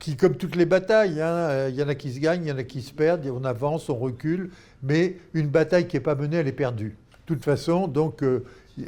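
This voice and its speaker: Dark and mellow in tone, a man's voice sits at a fairly high pitch with ordinary pitch variation. He speaks fairly quickly, and his loudness swings widely. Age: 80s+. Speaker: philanthropy expert, former doctor and NGO leader. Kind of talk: interview. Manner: halting.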